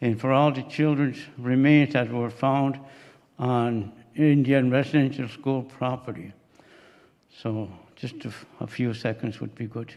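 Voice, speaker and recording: A man speaks at a fairly slow pace with a Maritime Canadian accent. His intonation is fairly even, and he takes long, frequent pauses. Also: medium pitch for a man. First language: Mi'kmaq. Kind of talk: ceremonial welcome. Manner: halting.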